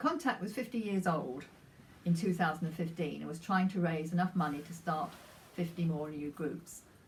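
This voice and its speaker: Over noticeable background noise, a woman with a fairly low voice talks at a moderate pace with ordinary pitch variation. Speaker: retired charity volunteer. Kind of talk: personal anecdote. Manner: halting.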